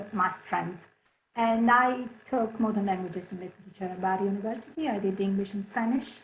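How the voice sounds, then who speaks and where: A woman at medium pitch with an Italian accent, at a moderate pace. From Italy, Barletta on the Adriatic coast. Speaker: head of HR. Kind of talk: presentation. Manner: animated.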